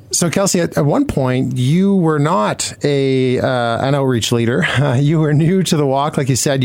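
The speaker has a Canadian accent and lively intonation at a moderate pace. Noticeable background noise is present. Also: man. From Manitoba, Canada. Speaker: radio co-host. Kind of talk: radio interview. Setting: radio studio.

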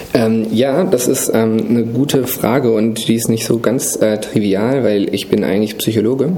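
Amid noticeable background noise and audible room echo, a man speaks at medium pitch and a moderate pace with ordinary pitch variation. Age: 30s. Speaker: digital industry association banking lead. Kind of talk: interview. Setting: office.

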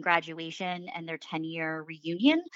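Her pitch is fairly low and her intonation fairly even as a woman talks in a normal speaking voice at a moderate pace. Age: 30s. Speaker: civic fellow. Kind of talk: casual chat.

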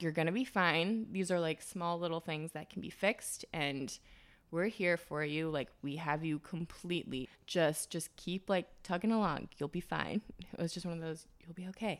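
A woman has a plain, everyday voice. She talks at a moderate pace with a fairly low pitch. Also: ordinary pitch variation. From US Midwest (Wisconsin). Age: 20s. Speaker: fashion stylist. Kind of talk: casual interview.

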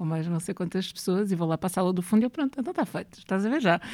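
The pitch of this woman's voice is medium and varies in an ordinary way. She talks very fast. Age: 30s. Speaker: writer and poet. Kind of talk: interview conversation.

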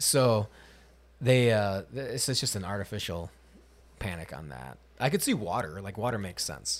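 A man with a fairly low pitch and vocal fry talks at a moderate pace, his pitch swinging very widely and his loudness shifting a lot, with long, frequent pauses, in a very clean recording with a silent background. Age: 30s. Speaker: podcast host. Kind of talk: casual chat.

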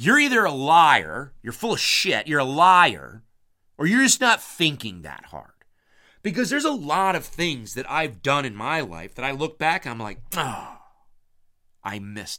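Speaking at a fairly slow pace, a man with a fairly high pitch, a bright, sharp tone, and vocal fry makes very wide pitch swings, recorded very cleanly against a silent background. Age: 50s. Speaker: hunting podcast host. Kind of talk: casual monologue. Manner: rambling, repetitive starts.

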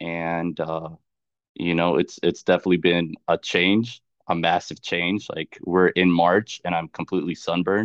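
With an American accent, a man talks at a very deep, low pitch in a monotone, flat intonation. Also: moderate pace. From US South, Charlotte, North Carolina. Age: 20s. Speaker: pastor. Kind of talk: testimony.

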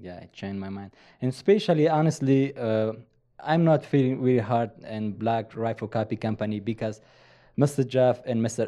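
A man with a strong Afghan accent, a dark, mellow tone, medium pitch and ordinary pitch variation, against a quiet background. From eastern Afghanistan. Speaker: Afghan commando, former special forces interpreter/soldier, coffee company employee. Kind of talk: casual interview, storytelling. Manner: halting, non-fluent English.

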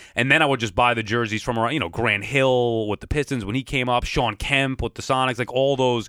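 This man has a normal speaking voice with a medium pitch and fairly even intonation. He talks at a fairly quick pace with hardly any pauses. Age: 30s. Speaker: sports broadcaster. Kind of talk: casual chat.

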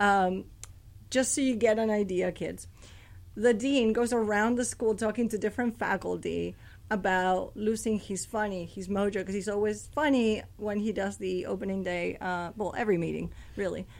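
A woman with a plain, everyday voice is heard on a very clean recording with a silent background. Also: medium pitch for a woman, fairly even intonation, moderate pace. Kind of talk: casual radio interview. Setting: radio studio.

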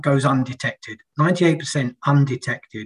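A man talks in a fairly high, somewhat breathy voice. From UK. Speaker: financial technology strategist. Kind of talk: podcast interview.

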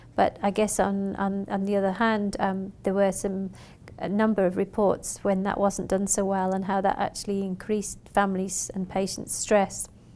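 Her tone dark and mellow, a woman speaks at a medium pitch and a moderate pace with monotone, flat intonation. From UK. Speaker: nurse researcher and lecturer. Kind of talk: interview. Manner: halting, many fillers.

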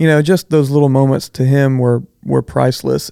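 A man speaks with a Texan accent. His tone is dark and mellow. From Southeast Texas (Bridge City). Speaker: architect / designer. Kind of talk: casual interview.

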